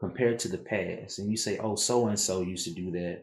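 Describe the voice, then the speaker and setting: Soft-spoken and somewhat breathy, a man talks. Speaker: tarot reader. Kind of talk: tarot reading. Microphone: too quiet, turning mic up.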